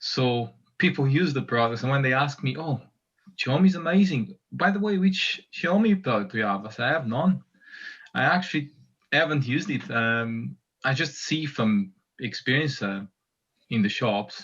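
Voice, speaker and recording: A man with a Portuguese accent, fairly high in pitch, lively intonation, moderate pace and long, frequent pauses, over a quiet background. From Portugal. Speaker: community member. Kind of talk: casual chat.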